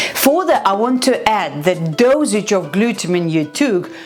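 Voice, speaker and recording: Backed by music, a woman speaks at a fairly slow pace. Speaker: fitness coach and nutritionist. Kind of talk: vlog advice talk.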